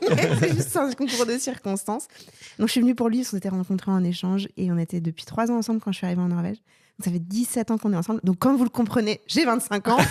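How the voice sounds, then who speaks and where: A woman speaks at a very fast pace in an animated tone, at a medium pitch with ordinary pitch variation and a somewhat breathy quality. The recording is very clean with a silent background and a dry, close sound with no echo. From France. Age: 30s. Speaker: comedian. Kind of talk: casual interview chat.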